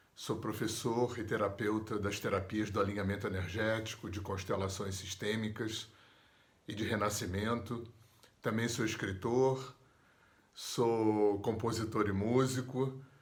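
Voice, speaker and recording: A man's fairly low, somewhat breathy voice stays monotone and flat, with audible echo from the room. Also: fairly slow pace. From Brazil, Rio de Janeiro. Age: 60s. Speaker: therapist and yoga teacher. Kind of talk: personal storytelling interview.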